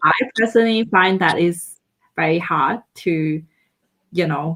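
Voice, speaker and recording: With a non-native accent, a woman speaks fairly slowly at a fairly low pitch and with ordinary pitch variation. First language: not English. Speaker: tea festival organizer. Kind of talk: live stream interview.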